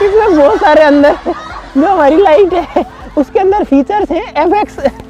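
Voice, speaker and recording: Over crowd noise in the background, a man speaks fairly slowly at an extremely high pitch, with ordinary pitch variation. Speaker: YouTuber doing science experiments. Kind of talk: casual vlog commentary. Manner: animated.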